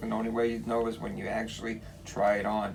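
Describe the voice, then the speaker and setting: A very fast man with an American accent at medium pitch, monotone and flat, with noticeable background noise and audible room echo. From New York City, Brooklyn. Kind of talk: interview. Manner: halting, many repetitions.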